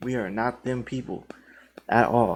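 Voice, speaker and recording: The background is silent in this very clean recording. A man talks fairly slowly. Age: 30s. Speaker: krump dancer and videographer. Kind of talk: monologue addressing viewers. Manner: casual, repetitive filler phrases.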